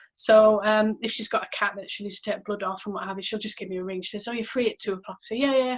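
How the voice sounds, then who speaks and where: With a fairly high pitch, the woman talks. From northern England, County Durham (Barnard Castle). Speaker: podcast host, veterinary nurse. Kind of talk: casual chat. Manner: hesitant, many fillers and repeats.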